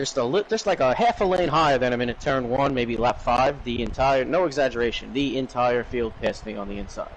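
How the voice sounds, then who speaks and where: A man at a medium pitch talks at a fairly quick pace with hardly any pauses and ordinary pitch variation. Noticeable background noise sits behind him. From New York. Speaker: sim racing commentator. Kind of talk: live commentary.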